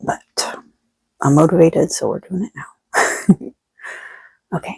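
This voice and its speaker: Soft-spoken, a woman comes through in a dry, close sound with no echo. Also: fairly slow pace. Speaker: tarot reader. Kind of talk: collective spiritual reading. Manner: quiet, soft-spoken.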